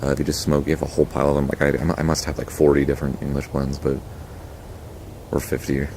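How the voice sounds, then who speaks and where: A man speaks quietly and very fast in a very deep, low voice over noticeable background noise. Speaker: tobacco pipe reviewer. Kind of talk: casual review monologue.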